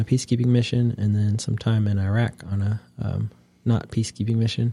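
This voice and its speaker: Speaking at a moderate pace with a Midwestern American accent, a man of medium pitch has a dark, mellow, somewhat breathy tone and monotone, flat intonation. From US Midwest, northeast Ohio. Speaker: local government administrator, army veteran. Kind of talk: interview. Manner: many filler words and pauses.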